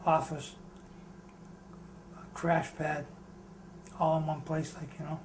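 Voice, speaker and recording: A man with a fairly high pitch talks in a monotone, flat way at a fairly slow pace, with long, frequent pauses and big swings in loudness. Room echo and noticeable background noise are present. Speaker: former psychiatric patient, interviewee. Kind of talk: oral history interview.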